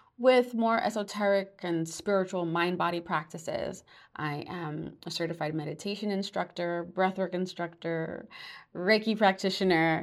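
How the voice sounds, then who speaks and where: On a very clean recording with a silent background, a woman with an American accent uses a normal speaking voice at a medium pitch, a moderate pace and fairly even intonation. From New York. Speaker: podcast host and life coach. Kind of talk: solo podcast monologue.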